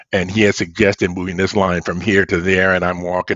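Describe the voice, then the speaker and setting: Very deep, low male voice, moving at a fairly quick pace. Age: 70s. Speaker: science fiction author. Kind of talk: podcast interview.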